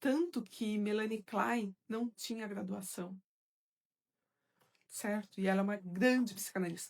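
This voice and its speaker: A woman speaks fairly slowly and somewhat breathily, with ordinary pitch variation. Her pauses are long and frequent. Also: medium pitch for a woman. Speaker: psychoanalyst and course teacher. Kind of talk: live stream Q&A with viewers.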